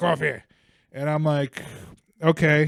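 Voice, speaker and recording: A man speaks with an American accent at a fairly high pitch. His tone is animated. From US, Bulgarian parents. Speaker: comedy podcast host. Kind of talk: casual chat.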